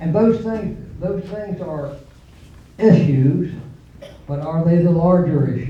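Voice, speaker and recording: The speaker has an Appalachian accent and talks at a very slow pace. Noticeable background noise runs underneath. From West Virginia, Nicholas County. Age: 70s. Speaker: parent speaking at public hearing. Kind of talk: public comment at hearing. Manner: halting, with fillers and repetitions.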